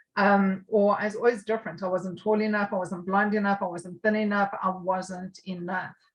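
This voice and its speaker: A woman's somewhat breathy, medium-pitched voice in a South African accent, with monotone, flat intonation, at a moderate pace with hardly any pauses. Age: 50s. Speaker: recovering addict. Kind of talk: interview. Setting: podcast.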